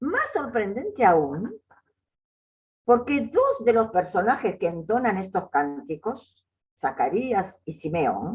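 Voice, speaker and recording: Very slowly, a woman with a fairly high pitch and vocal fry speaks with very wide pitch swings. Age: 80s+. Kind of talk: lecture. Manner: halting.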